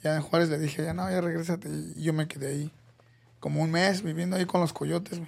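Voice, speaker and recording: The speaker has a Mexico City accent and talks very fast. Pitch varies in an ordinary way. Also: man, fairly high pitch for a man. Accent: Mexico City Spanish (chilango). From Mexico City (Iztapalapa). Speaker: MMA fighter's father, former fighter. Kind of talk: casual chat.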